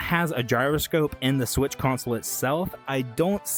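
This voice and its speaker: A man's fairly high-pitched voice with ordinary pitch variation over music in the background. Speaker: VTuber gaming commentator. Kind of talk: casual talk to camera. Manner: stuttering, rambling.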